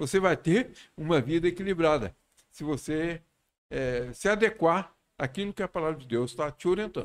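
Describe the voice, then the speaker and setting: Speaking at a moderate pace, a man with a fairly high pitch makes very wide pitch swings on a very clean recording with a silent background. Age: 70s. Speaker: pastor. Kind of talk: casual chat.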